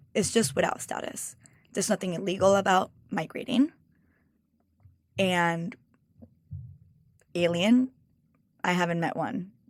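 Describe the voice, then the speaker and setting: A woman with a Mexican accent speaks at a fairly slow pace and medium pitch, using ordinary pitch variation and long, frequent pauses. The recording is very clean, with a silent background. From Mexico. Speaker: cookbook author and food stylist. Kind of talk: interview conversation.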